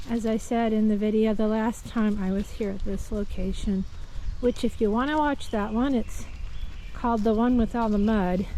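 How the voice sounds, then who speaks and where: Heard with audible room echo, a woman with a fairly high pitch and a dark, mellow tone speaks at a moderate pace, her loudness very even and her intonation fairly even. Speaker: vlogger, nature walk guide. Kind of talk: casual walking vlog narration. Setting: outdoors in a forest.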